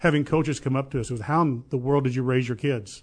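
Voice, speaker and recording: Against a quiet background, a man talks with a Southern Illinois accent. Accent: southern Illinois rural. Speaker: real estate business owner. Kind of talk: interview.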